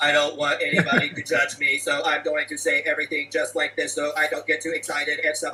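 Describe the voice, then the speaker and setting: A man's put-on, robotic character voice, fairly high pitched, at a very fast pace with hardly any pauses. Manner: robotic, monotone.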